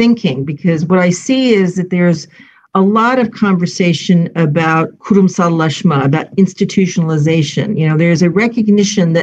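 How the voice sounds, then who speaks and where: At a moderate pace, a woman speaks with a fairly low pitch. Her voice is somewhat breathy, with ordinary pitch variation. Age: 60s. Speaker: civil society program leader. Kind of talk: panel discussion. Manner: hesitant, many fillers.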